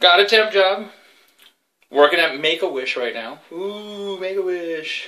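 Bright and sharp in tone, a man's high voice moves at a fairly slow pace. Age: 40s. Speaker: podcast host. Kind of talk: casual chat. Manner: animated. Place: home room. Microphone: webcam.

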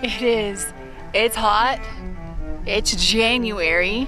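Over clear background music, a woman speaks at a very slow pace in a dry sound with no echo. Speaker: hiker vlogger. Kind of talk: casual vlog chat. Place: open country. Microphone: phone near.

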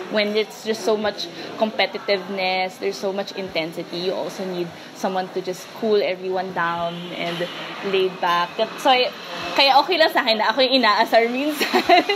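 A woman at a moderate pace, with ordinary pitch variation and noticeable background noise. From Philippines, Quezon City; Philippines. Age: 20s. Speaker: ultimate frisbee player. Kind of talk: interview monologue; interview answer. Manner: casual, filler-heavy (um, parang).

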